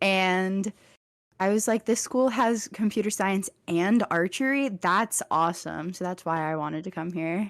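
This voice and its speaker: Speaking with a slight Texan accent, a woman keeps a fairly slow pace and a medium pitch with ordinary pitch variation, in a very clean recording with a silent background. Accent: slight Texas accent picking up. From Virginia, Richmond. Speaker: college student podcaster. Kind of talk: casual chat.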